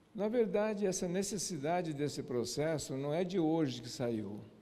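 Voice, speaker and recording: A fairly slow voice with a Japanese accent and a dark, mellow tone, plus audible room echo. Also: man. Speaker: lecturer. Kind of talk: lecture. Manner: halting.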